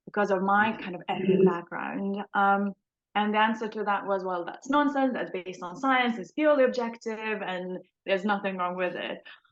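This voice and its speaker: A woman with a non-native accent talks at a medium pitch and moderate pace, with ordinary pitch variation and big swings in loudness. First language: not English. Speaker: trainee clinical psychologist. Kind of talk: casual interview chat. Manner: hesitant, many fillers.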